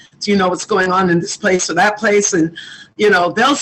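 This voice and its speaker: Talking at a fairly quick clip, a woman lets her pitch vary in an ordinary way. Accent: New York. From New York City (Queens). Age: 60s. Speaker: community activist. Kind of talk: interview.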